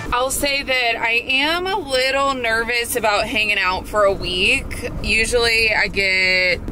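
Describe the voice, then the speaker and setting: A woman at a fairly slow pace, with very even loudness, ordinary pitch variation and light background noise. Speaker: travel vlogger. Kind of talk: casual vlog chat. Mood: reflective, slightly nervous. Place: car. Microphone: phone near.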